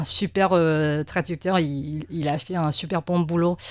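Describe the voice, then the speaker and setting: Against a silent background in a very clean recording, a woman talks very slowly at a fairly low pitch with ordinary pitch variation. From Taiwan. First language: Mandarin (speaking French). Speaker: press cartoonist. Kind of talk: interview. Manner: halting, many hesitations and repetitions.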